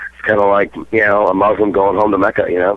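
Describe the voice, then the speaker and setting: Noticeable background noise sits behind this man. He talks at a very fast pace with a fairly low pitch. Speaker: death metal vocalist. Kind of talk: casual interview.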